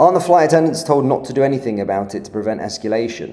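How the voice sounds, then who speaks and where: A man's voice, dark and mellow in tone, moves through very wide pitch swings. There is audible echo in the room. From southern England, Surrey. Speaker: political commentator. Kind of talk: live stream commentary. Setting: live stream. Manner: casual, hesitant with fillers.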